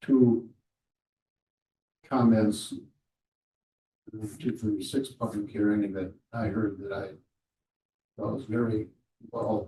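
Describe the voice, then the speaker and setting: A man speaks in a fairly low, somewhat breathy voice with a dark, mellow tone. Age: 70s. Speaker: city commissioner. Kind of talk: government working session discussion.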